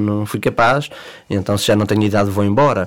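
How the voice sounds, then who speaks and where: Speaking at a fairly quick pace, the man has a fairly low-pitched voice. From Portugal, Leiria district. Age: 30s. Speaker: football referees' association president. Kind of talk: interview. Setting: studio. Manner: halting.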